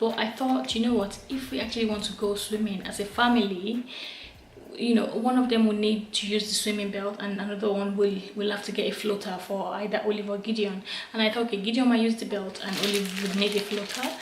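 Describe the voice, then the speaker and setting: A woman talks at a fairly quick pace with a medium pitch and fairly even intonation, with noticeable background noise and audible room echo. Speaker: mum vlogger. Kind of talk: casual vlog talk. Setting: at home at night. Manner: whispering, soft.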